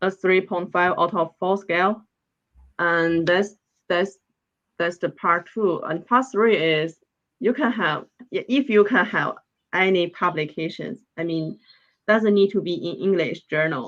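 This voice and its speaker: A woman's medium-pitched voice with a Chinese accent, ordinary pitch variation, a fairly slow pace, and long, frequent pauses. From northeast China. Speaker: PhD student in veterinary science. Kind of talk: interview. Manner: hesitant, repeating words.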